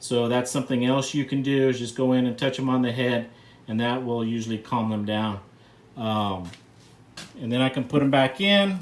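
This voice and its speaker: A man with a medium pitch delivers his words at a moderate pace, his pitch varying in an ordinary way. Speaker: reptile breeder and channel host. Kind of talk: tutorial. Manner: loud.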